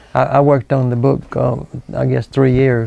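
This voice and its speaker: Man with a Southern US accent over noticeable background noise. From US South, South Carolina. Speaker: local historian and author. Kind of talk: interview. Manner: halting.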